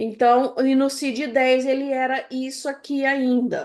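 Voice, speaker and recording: A woman speaks very slowly in a high voice, her intonation fairly even against a quiet background. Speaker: music education professor. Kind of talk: lecture.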